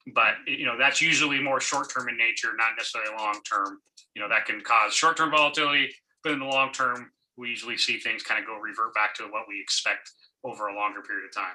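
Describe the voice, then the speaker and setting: Very fast male speech at a medium pitch, bright and sharp in tone, with ordinary pitch variation. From Tacoma, Washington, US. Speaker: financial planner. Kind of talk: Q&A answer. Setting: video call.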